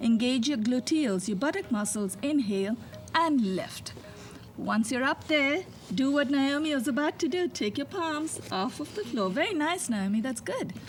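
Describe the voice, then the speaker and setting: Over noticeable background noise, a woman with a high pitch and a calm tone speaks at a moderate pace with very wide pitch swings. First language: not English. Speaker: yoga instructor. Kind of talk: guided yoga instruction. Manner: calm, instructive.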